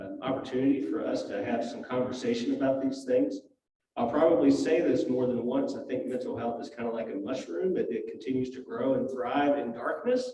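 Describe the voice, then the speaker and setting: Over audible room echo, a man talks at a fairly quick pace. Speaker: hospital chaplain. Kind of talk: church talk / lecture. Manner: soft-spoken; halting.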